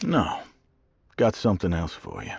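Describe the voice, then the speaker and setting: A man puts on a character voice pitched in the medium range. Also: moderate pace. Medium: video game. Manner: clipped, weary.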